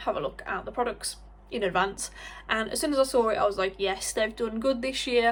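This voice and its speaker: A woman with a British accent. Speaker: beauty vlogger and cosmetics sales rep. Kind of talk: product review vlog. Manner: animated.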